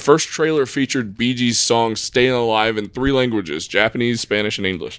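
A man speaks at medium pitch with ordinary pitch variation, at a fairly quick pace and with hardly any pauses. The recording is very clean, with a silent background. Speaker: podcast host. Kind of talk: casual chat. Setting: studio. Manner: loud.

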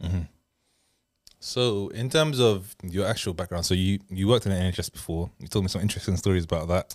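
Very fast speech comes with ordinary pitch variation. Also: man, very deep, low pitch for a man. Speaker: podcast host. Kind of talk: casual chat. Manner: fast talker.

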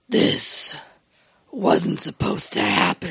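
A raspy, put-on character voice with a dramatic tone at a fairly slow pace. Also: middle pitch. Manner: dramatic, grim.

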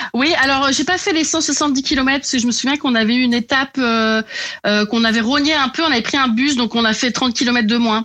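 Bright and sharp in tone, a woman's high voice moves at a fairly quick pace with ordinary pitch variation. Her loudness stays very even. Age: 40s. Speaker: novelist. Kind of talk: casual chat. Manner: hesitant, many fillers.

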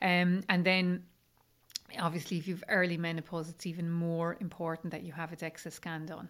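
A woman with an Irish accent speaks at a fairly low pitch in a monotone, flat intonation at a moderate pace. The recording is very clean, with a silent background. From rural Ireland. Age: 50s. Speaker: menopause coach. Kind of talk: interview conversation.

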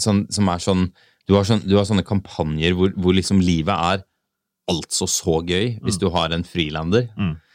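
The sound is dry and close, with no echo, and the recording is very clean against a silent background. The intonation stays fairly even. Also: man, very deep, low pitch for a man, moderate pace. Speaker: car podcast host. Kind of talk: casual chat.

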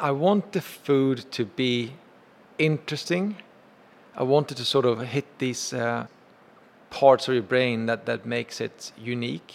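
A man with a Swedish accent at a fairly slow pace, with long, frequent pauses. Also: medium pitch for a man, ordinary pitch variation. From Sweden. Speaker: chef and restaurant owner. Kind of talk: interview.

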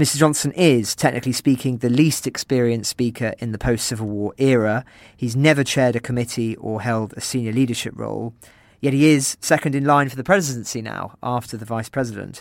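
On a very clean recording with a silent background, a man with an English accent speaks at a fairly quick pace and medium pitch, his intonation fairly even and his loudness swinging widely. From England. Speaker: journalist and interviewer. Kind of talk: interview.

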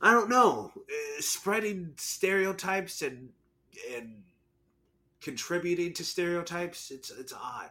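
With an American accent, a man talks at a fairly slow pace in a high pitch, his tone bright and sharp and his intonation lively. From US South. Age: young. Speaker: podcast co-host. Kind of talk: casual chat.

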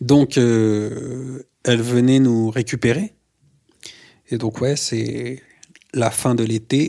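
A man's very slow, monotone, flat delivery at medium pitch, dark and mellow in tone, with long, frequent pauses. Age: 30s. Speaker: artist. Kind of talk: personal testimony.

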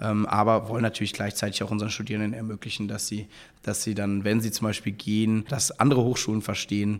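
A man's fairly low, monotone voice with flat intonation at a fairly quick pace, on a very clean recording with a silent background. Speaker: university co-founder and chancellor. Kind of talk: interview. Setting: recorded on site at the university. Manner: hesitant with many fillers.

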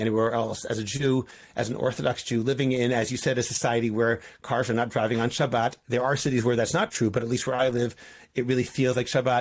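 A medium-pitched man at a very fast pace, in a Boston accent. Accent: American (Boston) English. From US Northeast, Boston. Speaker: rabbi. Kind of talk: interview.

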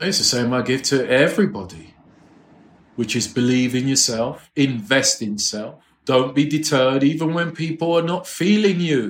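This man has a London accent and a fairly high pitch. His intonation is lively and his pace moderate. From England, London. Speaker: music publisher. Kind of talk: interview.

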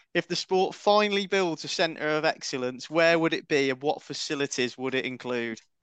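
Against a quiet background, with a dry, close sound and no echo, a man with an ordinary speaking voice and fairly high pitch talks at a fairly quick pace with ordinary pitch variation. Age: 40s. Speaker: podcast host. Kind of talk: casual chat.

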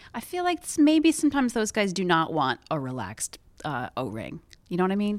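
A woman with a medium-pitched voice talks at a fairly quick pace, her pitch swinging very widely. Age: 40s. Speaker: podcast host. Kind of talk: casual chat.

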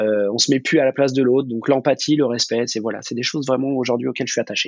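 His pitch is medium for a man. He speaks fairly quickly. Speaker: food business manager. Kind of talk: casual interview. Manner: halting, many repetitions and fillers.

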